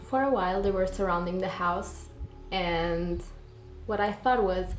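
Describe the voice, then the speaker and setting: A woman with a non-native accent speaks at a fairly slow pace. Audible room echo fills the recording. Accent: non-native English accent, self-described. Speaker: YouTuber and digital artist. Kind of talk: storytelling; casual vlog explanation.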